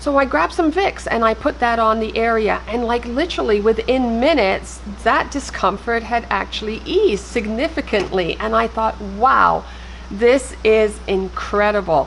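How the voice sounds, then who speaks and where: A woman speaks at a moderate speed, with noticeable background noise in the recording. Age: 60s. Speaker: travel vlogger. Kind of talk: tutorial.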